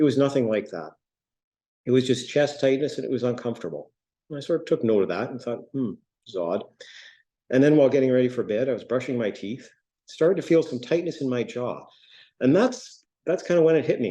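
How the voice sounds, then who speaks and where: A man's dark, mellow voice at a fairly quick pace, with lively intonation, long and frequent pauses, and a quiet background. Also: medium pitch for a man. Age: 60s. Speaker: heart attack survivor, patient speaker. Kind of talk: personal testimony.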